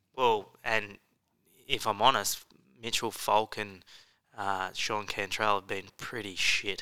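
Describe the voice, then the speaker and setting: A man with an Australian accent talks very slowly with long, frequent pauses, his fairly low voice bright and sharp yet monotone and flat. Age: 20s. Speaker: motocross podcast co-host. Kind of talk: casual chat.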